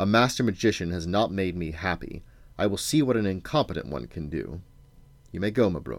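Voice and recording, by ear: A man uses a put-on character voice with vocal fry and a low pitch. His intonation is lively and his pace fairly quick.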